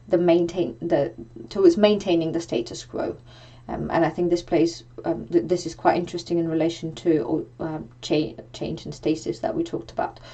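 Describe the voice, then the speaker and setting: Her voice fairly low with a dark, mellow tone and vocal fry, a woman speaks with lively intonation. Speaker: lecturer. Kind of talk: lecture. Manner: halting, many fillers.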